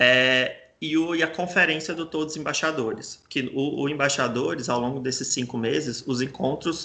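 A man with an ordinary speaking voice talks at a moderate pace, his fairly high pitch carried on fairly even intonation. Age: 20s. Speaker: journalist and LGBTI+ nonprofit communications director. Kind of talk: interview.

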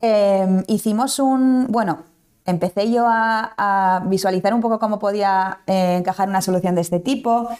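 A woman talks fairly slowly in an ordinary speaking voice at a medium pitch, with fairly even intonation. Her loudness stays very even, and the recording is very clean with a silent background. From Basque Country, Spain. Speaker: startup founder and CEO. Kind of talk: interview.

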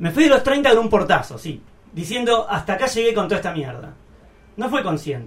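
At a fairly quick pace, a man talks in a high pitch with very wide pitch swings. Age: 40s. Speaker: radio host. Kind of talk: casual radio chat; reading aloud a personal essay. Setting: radio studio.

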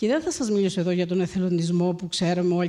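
Her tone dark and mellow, a woman speaks at a medium pitch with fairly even intonation. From Crete, Greece. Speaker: surgeon and humanitarian volunteer. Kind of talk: public talk.

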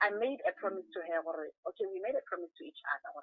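A woman races along at a very fast pace, her voice moving in very wide pitch swings. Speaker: actor and musician. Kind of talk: phone interview. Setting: phone call.

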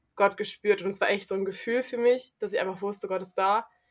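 A woman speaks in a flat monotone, recorded very cleanly against total silence. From South Africa. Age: young. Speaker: volunteer youth worker. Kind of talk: casual chat.

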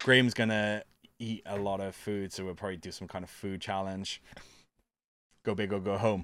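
Recorded very cleanly against a silent background, a man with a Welsh accent speaks at a fairly low pitch with fairly even intonation. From Wales. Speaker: podcast host. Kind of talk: casual chat.

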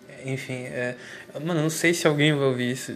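The voice belongs to a man of medium pitch with fairly even intonation. Noticeable background noise can be heard. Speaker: solo monologue recorder. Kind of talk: rambling personal monologue. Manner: halting, repeats words.

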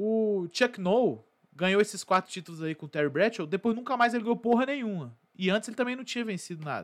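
A high-pitched man with lively intonation, fairly quick and with hardly any pauses, on a very clean recording with a silent background. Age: 20s. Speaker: sports podcast host. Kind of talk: casual commentary monologue. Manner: casual.

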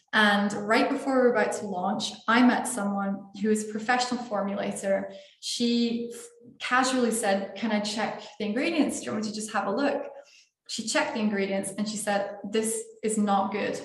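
Woman's fairly high voice, fairly even in intonation, at a moderate pace over noticeable background noise. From Scotland. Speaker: entrepreneur. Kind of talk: interview.

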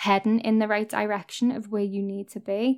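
The woman's voice sits at a fairly high pitch. Her intonation is monotone and flat. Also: very clean recording, silent background. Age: 20s. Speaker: podcast host. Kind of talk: casual monologue.

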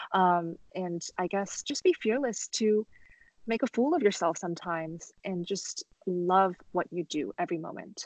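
A woman with a Californian accent, medium-pitched, at a fairly slow pace, with ordinary pitch variation, a dry, close sound without echo, and a quiet background. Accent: General American, California. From Los Angeles, US. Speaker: pianist and violinist. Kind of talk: interview conversation.

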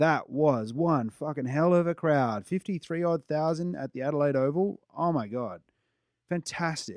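A fairly high-pitched man with an Australian accent at a moderate pace, with ordinary pitch variation, over a quiet background. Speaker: sports podcast co-host. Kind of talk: scripted narration; casual chat. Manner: halting.

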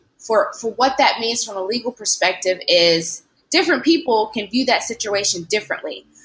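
An American-accented woman with a fairly high pitch, moderate pace and a normal speaking voice. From US South, Tennessee (Lewisburg). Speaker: law student. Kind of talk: interview.

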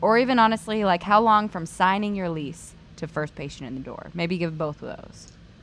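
With a plain, everyday voice, a woman talks at a fairly quick pace with hardly any pauses, her medium pitch showing lively intonation and big swings in loudness. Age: 30s. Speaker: optometrist podcast co-host. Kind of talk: casual chat.

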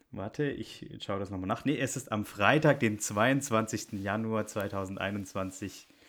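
A man with a fairly low pitch talks at a very slow pace with hardly any pauses. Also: ordinary pitch variation. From Bavaria. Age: 20s. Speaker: podcast co-host, political scientist. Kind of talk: casual political chat. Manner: hesitant, frequent fillers.

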